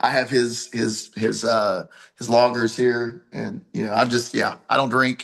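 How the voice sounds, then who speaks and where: A man with an Appalachian accent, medium pitch, vocal fry, fairly even intonation and a fairly slow pace. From Appalachia, US. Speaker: pro wrestler and promoter. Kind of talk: interview.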